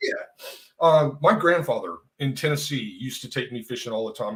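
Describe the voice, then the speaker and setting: A man with an American accent talks at a fairly quick pace in an ordinary speaking voice, with ordinary pitch variation. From Texas. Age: 60s. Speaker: retired real estate agent. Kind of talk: casual interview chat.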